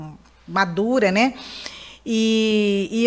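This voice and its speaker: A woman's fairly high voice holds a fairly even intonation. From Mato Grosso do Sul, Brazil (Campo Grande). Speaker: lawyer and political candidate. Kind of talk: radio interview.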